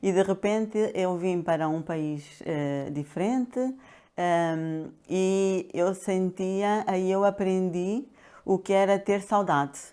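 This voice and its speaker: A woman speaks at a very slow pace with a medium pitch and ordinary pitch variation. The recording is very clean, with a silent background. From Angola (Luanda). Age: 60s. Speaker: pharmacist and health coach. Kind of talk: interview. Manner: hesitant, many fillers.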